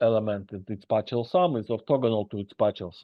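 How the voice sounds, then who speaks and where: A man with a Russian accent talks fairly quickly at a medium pitch with ordinary pitch variation. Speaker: university lecturer. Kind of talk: lecture. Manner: halting.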